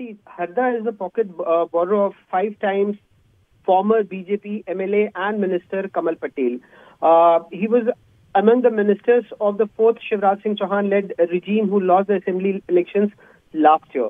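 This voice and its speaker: The background is quiet and the sound is dry with no echo. The speech moves at a moderate pace. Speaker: news correspondent. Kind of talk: news phone report. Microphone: phone line.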